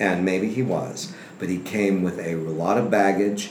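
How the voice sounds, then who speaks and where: Over noticeable background noise and audible room echo, a man with a very deep, low pitch speaks at a fairly slow pace. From Texas and Sacramento, California. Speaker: film historian and archivist. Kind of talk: casual interview chat. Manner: animated.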